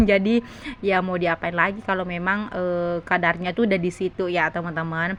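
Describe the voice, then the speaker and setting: A woman at medium pitch and a very fast pace, monotone and flat, over noticeable background noise. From South Sulawesi, Indonesia. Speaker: vlogger, housewife. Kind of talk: vlog voice-over. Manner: chatty, talkative; halting.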